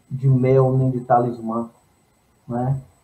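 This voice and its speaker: This man's voice is somewhat breathy with a dark, mellow tone. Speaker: singer-songwriter. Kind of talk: interview.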